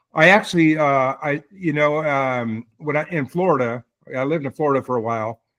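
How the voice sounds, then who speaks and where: A man with an American accent, medium pitch, moderate pace and ordinary pitch variation. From southwest Michigan. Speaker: army veteran. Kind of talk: casual interview.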